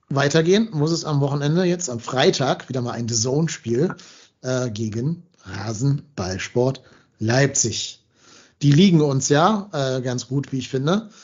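Somewhat breathy and fairly high in pitch, a man speaks at a very slow pace with lively intonation and long, frequent pauses. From Hamburg, northern Germany. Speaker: football podcast host. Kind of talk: casual chat.

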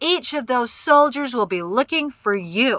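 In a put-on character voice, a woman growls and bellows at a moderate pace, her high pitch swinging very widely. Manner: bellowing, angry.

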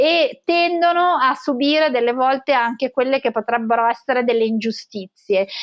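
The voice moves at a moderate pace with ordinary pitch variation. Its loudness stays very even against a quiet background. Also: woman, high pitch for a woman. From Italy, Tuscany (Florence) and Genoa; Italy. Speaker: professor of pathology and cancer researcher; professor. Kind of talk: interview. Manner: hesitant, with fillers. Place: home room. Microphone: webcam.

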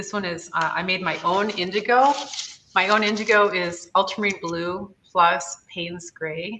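Over light background noise, a woman talks at a moderate pace, her intonation fairly even. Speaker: live-stream host. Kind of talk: tutorial. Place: workshop. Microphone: webcam.

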